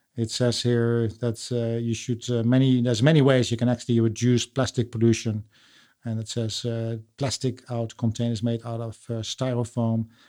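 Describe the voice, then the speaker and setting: A man speaks with a Dutch accent at a moderate pace, his pitch medium and his intonation flat and monotone. His tone is dark and mellow, and the recording is very clean with a silent background. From Netherlands. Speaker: podcast host. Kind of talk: casual interview chat. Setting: home studio.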